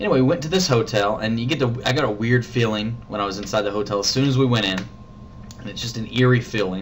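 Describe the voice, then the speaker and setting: Mumbling very fast at a medium pitch, a man is heard with audible room echo and noticeable background noise. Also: ordinary pitch variation. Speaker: vlogger. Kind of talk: casual vlog monologue. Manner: halting.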